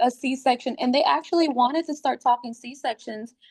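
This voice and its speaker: A woman with a high pitch at a moderate pace. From Puerto Rico. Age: 30s. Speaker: wellness ambassador, first-time mother. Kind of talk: podcast interview, personal story. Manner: animated storytelling.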